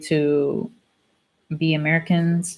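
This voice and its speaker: Her voice is somewhat breathy and fairly low in pitch. The woman keeps a fairly even intonation. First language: Spanish. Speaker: student vlogger. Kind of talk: casual chat. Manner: casual, hesitant with fillers.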